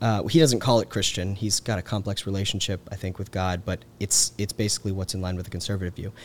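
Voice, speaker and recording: Talking at a very fast pace, a man has an American accent and a fairly low pitch. His intonation stays fairly even. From US South, Georgia (Carrollton). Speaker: policy researcher. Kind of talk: casual interview. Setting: on-site recording.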